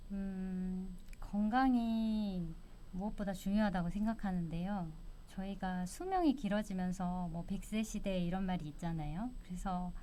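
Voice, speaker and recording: Against audible room echo, a woman with a dark, mellow tone and medium pitch speaks somewhat breathily, with fairly even intonation, at a fairly slow pace. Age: 60s. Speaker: retiree. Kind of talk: interview.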